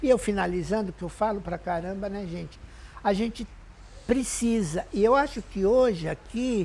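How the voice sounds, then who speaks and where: A woman's dark, mellow, somewhat breathy voice at a moderate pace, with big swings in loudness. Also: medium pitch for a woman, ordinary pitch variation. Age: 60s. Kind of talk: testimony.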